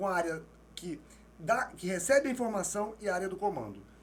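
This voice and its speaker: A man speaks with a high pitch and lively intonation. Noticeable background noise sits behind him. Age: 60s. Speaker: non-verbal language expert. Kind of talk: interview.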